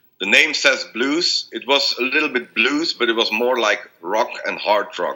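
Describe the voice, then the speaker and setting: A man with a Belgian accent talks at a moderate pace. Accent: non-native English, Belgian. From Belgium. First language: not English. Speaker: blues rock singer. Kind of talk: interview. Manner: halting, many repetitions.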